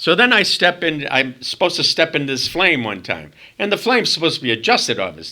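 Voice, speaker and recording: A man with a Boston accent talks at a very fast pace, his fairly high pitch making very wide swings. His tone is bright and sharp, with vocal fry. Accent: Boston accent, noticeable. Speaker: former stage performer. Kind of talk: casual chat interview storytelling. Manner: animated.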